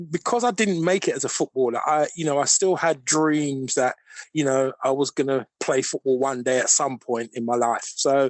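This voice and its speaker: With a London accent, a man of fairly high pitch speaks at a moderate pace with ordinary pitch variation. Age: 60s. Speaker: football coach and mechanic, cancer survivor. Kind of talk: interview. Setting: phone call.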